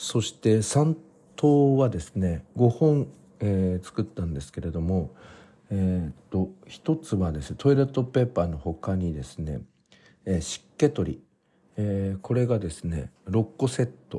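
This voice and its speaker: A man speaks fairly slowly in a very deep, low voice with a dark, mellow, somewhat breathy tone and very wide pitch swings, on a very clean recording with a silent background. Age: 40s. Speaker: podcast host. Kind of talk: casual diary-style monologue. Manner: frequent filler hesitations.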